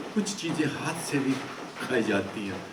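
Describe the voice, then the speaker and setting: Against noticeable background noise and audible room echo, a man speaks at a fairly high pitch. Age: 70s. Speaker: social commentator / vlogger. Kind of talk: monologue commentary. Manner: halting, frequent stammering restarts.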